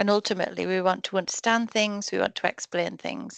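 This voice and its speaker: An ordinary speaking voice with ordinary pitch variation comes through dry and close with no echo against a quiet background. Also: woman. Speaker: research trainer. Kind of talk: online training session. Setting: video call.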